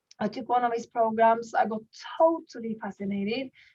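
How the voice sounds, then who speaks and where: A woman speaks at a moderate pace, fairly high in pitch, with ordinary pitch variation. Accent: Norwegian. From Norway. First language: Norwegian. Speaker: network marketing leader and goal-setting coach. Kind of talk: online workshop presentation. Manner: halting with frequent repetitions.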